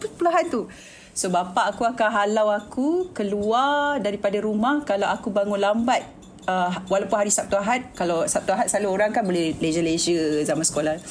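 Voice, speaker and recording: A woman's ordinary speaking voice, medium in pitch, with lively intonation at a fairly quick pace. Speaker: TV producer and director. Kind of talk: casual chat.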